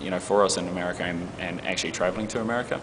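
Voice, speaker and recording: Noticeable background noise sits behind a man with a New Zealand accent whose very deep, low voice keeps fairly even intonation. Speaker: advertising creative executive. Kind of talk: interview. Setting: festival interview.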